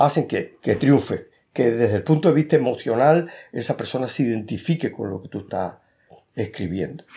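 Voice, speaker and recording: A man in a dark, mellow tone with vocal fry, very wide pitch swings and a moderate pace, in a very clean recording with a silent background. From Cuba. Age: 70s. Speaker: author. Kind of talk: interview.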